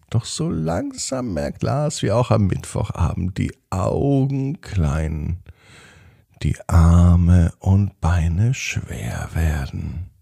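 This man speaks very slowly at a low pitch, with a dark, mellow tone and vocal fry. There's a slightly husky edge, and his intonation is lively.

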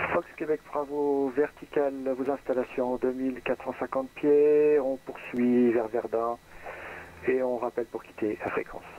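Over light background noise, a man speaks at a very slow pace with monotone, flat intonation and a dry sound with no echo. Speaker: private pilot flying in a flight simulator. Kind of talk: aviation radio phraseology. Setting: online voice chat. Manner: formal. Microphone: headset.

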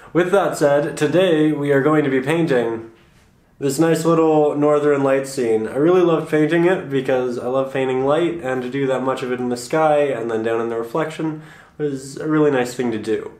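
A man keeps his intonation fairly even and his pace moderate, with audible room echo around him. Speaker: painting teacher. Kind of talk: tutorial intro. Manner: halting, repeating words.

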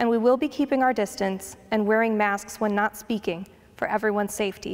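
A woman is talking. She speaks at a very fast pace. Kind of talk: announcements. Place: church. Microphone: handheld.

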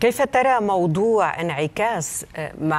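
A woman is speaking. Her pace is very slow. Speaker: news anchor. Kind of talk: news reading. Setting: studio. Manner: formal. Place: studio.

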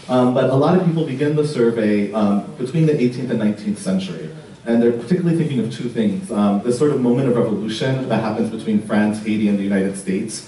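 A man speaks very fast with ordinary pitch variation, audible room echo and light background noise. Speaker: art history professor. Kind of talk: lecture. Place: hall.

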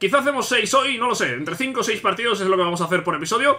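Speaking at a very fast pace, a man uses a raised, projected voice. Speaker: gaming youtuber. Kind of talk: casual gameplay commentary. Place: home room.

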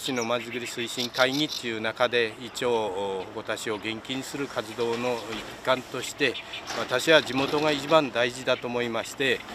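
With fairly even intonation and big swings in loudness, a man speaks at a fairly slow pace in a dry sound with no echo, over noticeable background noise. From Hokota, Ibaraki, Japan; Ibaraki, Japan. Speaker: local community volunteer. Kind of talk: interview. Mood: friendly, smiling. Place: waterside. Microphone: handheld.

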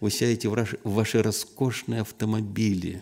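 Against a quiet background, a man with a fairly low pitch and a dark, mellow tone speaks at a fairly slow pace in a flat monotone. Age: 60s. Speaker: visiting preacher. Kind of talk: sermon. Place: church. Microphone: podium.

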